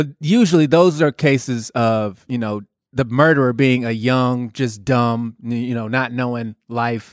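In a very clean recording with a silent background, a man with an ordinary speaking voice talks fairly slowly at a medium pitch with fairly even intonation. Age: 30s. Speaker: podcast co-host. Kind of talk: heated debate.

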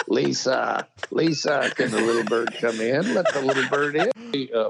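Putting on a character voice, a man speaks at a moderate pace with fairly high pitch. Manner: eerie, pleading.

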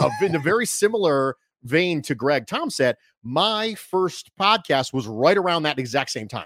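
Very wide pitch swings mark this moderate-paced speech, captured in a very clean recording with a silent background. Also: man, fairly high pitch for a man. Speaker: sports podcaster. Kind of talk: casual interview chat.

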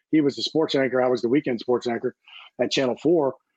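A man speaks in an unremarkable speaking voice at medium pitch. His intonation is fairly even. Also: dry, close sound with no echo. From US Mid-Atlantic, DC area. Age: 60s. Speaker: sports play-by-play broadcaster. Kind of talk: casual interview.

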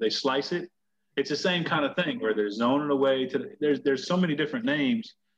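With lively intonation, a plain, everyday voice moves along at a fairly quick pace. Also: man. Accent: American. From Tampa, Florida. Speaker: high school football coach, podcast host. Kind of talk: casual chat.

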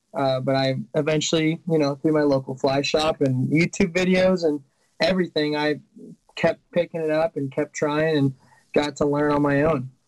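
A man with a fairly high pitch talks in a normal speaking voice at a moderate pace, with fairly even intonation and a dry, close sound with no echo. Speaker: college student and fly fishing guide. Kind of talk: casual chat.

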